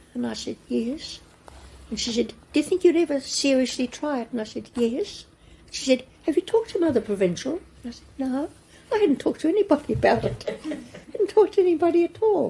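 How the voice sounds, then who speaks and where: Speaking at a fairly quick pace with a New Zealand accent, the voice swings very widely in pitch and greatly in loudness. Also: woman, high pitch for a woman. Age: 80s+. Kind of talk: interview answer, storytelling.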